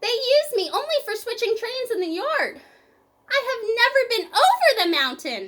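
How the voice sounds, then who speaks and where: A woman uses a put-on character voice, squeaky and extremely high in pitch. She speaks at a moderate pace. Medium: read story. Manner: earnest, kind.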